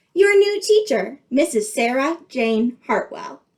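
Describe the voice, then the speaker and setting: Using a put-on character voice, a woman speaks high-pitched at a fairly slow pace with very wide pitch swings. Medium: read story. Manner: gushing, brisk.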